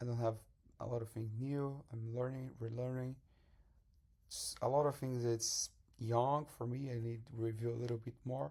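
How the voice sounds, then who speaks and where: A man with a Portuguese accent speaks at a medium pitch and moderate pace, his voice dark, mellow and somewhat breathy, with fairly even intonation and long, frequent pauses. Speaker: salesman and language learner. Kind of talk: tutorial. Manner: halting.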